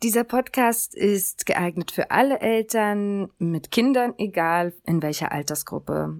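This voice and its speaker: A woman's very slow speech, dry and close with no echo, ordinary pitch variation, on a very clean recording with a silent background. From Germany. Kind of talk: scripted podcast monologue.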